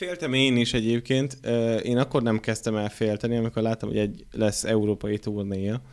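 In a quiet background, a man talks fairly quickly. His pitch shows ordinary variation. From Hungary, Borsod; Hungary. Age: 30s. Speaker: podcast host. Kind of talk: casual chat. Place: studio. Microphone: studio mic.

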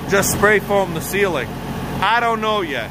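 Loud background noise runs under a dry sound with no echo. The speech moves at a fairly slow pace. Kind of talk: casual vlog chat. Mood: annoyed, complaining. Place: garage. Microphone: phone near.

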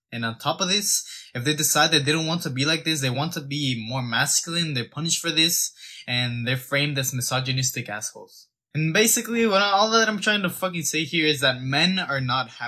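A man's bright, sharp voice at a fairly quick pace, with lively intonation and a quiet background. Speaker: fitness content creator. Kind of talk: opinion rant to camera. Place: home room. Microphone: phone near.

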